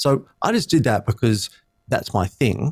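The voice carries an Australian accent. The recording is very clean, with a silent background. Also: man. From Australia, Sydney. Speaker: speechwriter and communications trainer. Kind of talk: interview conversation.

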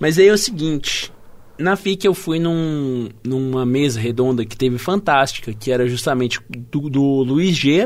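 A man talks with a fairly high pitch. It is a normal speaking voice. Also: lively intonation, fairly slow pace. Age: 20s. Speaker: podcast co-host. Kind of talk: casual chat.

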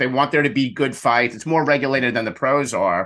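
Over a quiet background, a man talks at a very fast pace. His medium-pitched voice has a bright, sharp tone. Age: 50s. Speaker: networking coach and speaker. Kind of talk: interview.

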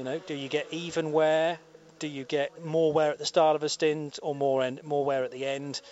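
Over noticeable background noise, a man speaks at a fairly high pitch in a flat monotone. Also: moderate pace. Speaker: radio commentator. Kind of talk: live commentary. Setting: commentary box at race circuit.

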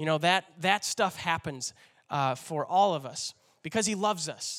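A man speaks at a moderate pace in an animated, bright, sharp tone with ordinary pitch variation. The recording is very clean with a silent background, and the sound is dry and close with no echo. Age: 30s. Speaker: pastor. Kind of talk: sermon.

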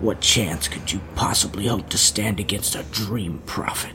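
Against clear background noise, a man performs a put-on character voice at a moderate pace. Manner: whispering; gentle, condescending.

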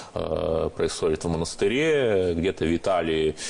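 Amid noticeable background noise, a man talks at a fairly slow pace. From Russia, Cherepovets (Vologda region). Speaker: journalist. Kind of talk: radio discussion. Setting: studio.

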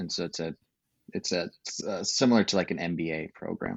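A moderate pace and ordinary pitch variation from a man with a very deep, low pitch. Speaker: university education director.

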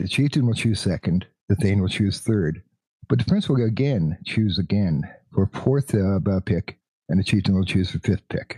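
The voice has a dark, mellow tone, somewhat breathy, with ordinary pitch variation and a Canadian accent. The sound is dry and close, with no echo. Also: man, fairly low pitch for a man, moderate pace. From Canada. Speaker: podcast co-host. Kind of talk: casual chat.

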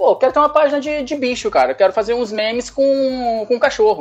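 Noticeable background noise sits under a man speaking at an extremely high pitch. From Brazil, Leopoldina, Minas Gerais (Zona da Mata). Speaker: pet meme page creator. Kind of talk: casual interview chat.

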